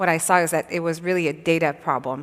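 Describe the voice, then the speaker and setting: A woman with a slight Quebec accent talks at a very fast pace. Her very deep, low voice is monotone with flat intonation. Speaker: tech company founder and CEO. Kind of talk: panel interview at a conference. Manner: hesitant, many fillers.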